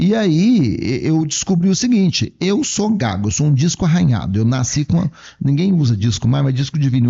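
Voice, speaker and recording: A man's somewhat breathy voice moves at a fairly quick pace, his pitch swinging very widely. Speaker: psychologist and lecturer. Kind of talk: podcast interview.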